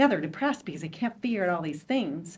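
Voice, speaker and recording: An unremarkable speaking voice from a woman, medium in pitch and lively in intonation. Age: 60s. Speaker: panelist on menopause. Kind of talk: panel discussion.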